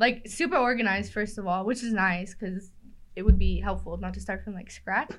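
A woman with an American accent and vocal fry, at a fairly quick pace. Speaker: gym front desk worker. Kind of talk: casual chat.

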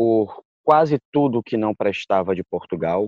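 With a plain, everyday voice, a man speaks at a medium pitch with lively intonation. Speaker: jurist and candomblé practitioner. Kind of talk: interview.

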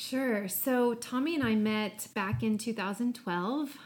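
A woman with a Midwestern American accent speaks with ordinary pitch variation. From US Midwest. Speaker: podcast guest, marketing professional. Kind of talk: casual chat.

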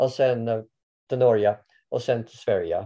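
A man with an English accent speaks at a moderate pace. His tone is dark and mellow. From Canada. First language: English (speaking Swedish). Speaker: orienteering coach. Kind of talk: interview. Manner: halting, many fillers.

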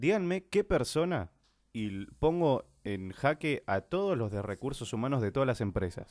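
With very wide pitch swings around a medium pitch, a man speaks at a fairly slow pace. The recording is very clean with a silent background and a dry, close sound with no echo. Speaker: radio host. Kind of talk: live radio show.

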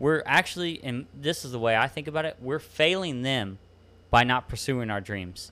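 With a Texan accent, a man speaks at a moderate pace and medium pitch, his tone bright and sharp and his intonation lively, on a very clean recording with a silent background. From Texas Hill Country. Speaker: podcast host.

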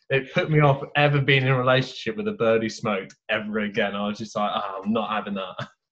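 A man with an English accent, medium pitch and ordinary pitch variation, at a very fast pace with hardly any pauses. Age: 20s. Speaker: golf coach. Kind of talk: casual chat.

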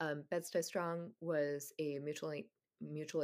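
A woman's very deep, low voice. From Oman, Middle East (Indian family). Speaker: novelist. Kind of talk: interview. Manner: hesitant, many filler ums.

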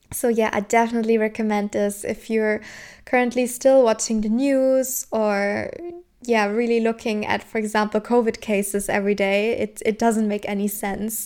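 In a very clean recording with a silent background, a woman with a German accent and a fairly high voice talks at a moderate pace with monotone, flat intonation. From southern Germany. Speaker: podcast host. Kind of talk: solo personal-growth talk. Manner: casual, frequent laughter.

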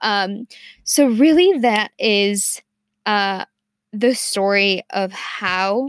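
Recorded very cleanly against a silent background, a woman speaks at a medium pitch with ordinary pitch variation in a dry, close sound with no echo. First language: Spanish. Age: 20s. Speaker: student podcaster. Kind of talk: personal monologue. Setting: studio. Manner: halting, many fillers.

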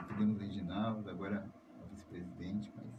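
In a room with audible echo, a man talks with a dark, mellow tone that is somewhat breathy. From São Paulo, Brazil (south zone). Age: 30s. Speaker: community radio host. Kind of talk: radio interview.

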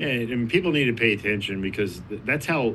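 The tone is bright and sharp, with ordinary pitch variation. Room echo is audible. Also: man. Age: 40s. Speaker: addiction ministry leader. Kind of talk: casual chat. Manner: halting, many repeated words.

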